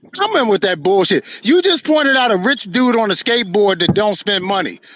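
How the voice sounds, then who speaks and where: Here a man talks with a high pitch and lively intonation at a fairly quick pace. Noticeable background noise is present. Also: very even loudness. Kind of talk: heated debate. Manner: loud.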